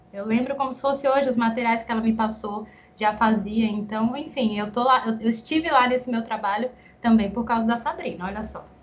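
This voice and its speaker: Over noticeable background noise, a woman speaks at a fairly quick pace with a fairly high pitch and fairly even intonation. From Guarulhos, São Paulo, Brazil. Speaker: speech therapist and researcher. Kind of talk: interview.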